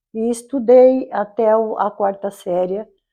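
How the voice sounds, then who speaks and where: This woman's voice has a dark, mellow tone. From Brazil, interior of São Paulo state. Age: 80s+. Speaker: local resident telling her life story. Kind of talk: oral history testimony. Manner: halting, with self-corrections.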